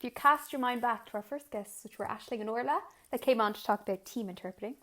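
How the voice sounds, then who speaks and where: With an Irish accent, a woman talks very fast in a fairly high voice, with ordinary pitch variation and big swings in loudness. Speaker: podcast co-host, sign language interpreter. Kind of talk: casual chat.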